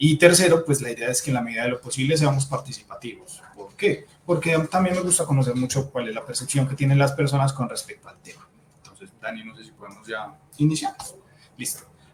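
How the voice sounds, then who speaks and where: At a fairly high pitch, a man talks at a fairly quick pace with ordinary pitch variation and big swings in loudness, over noticeable background noise. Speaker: psychologist. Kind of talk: webinar talk. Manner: fast.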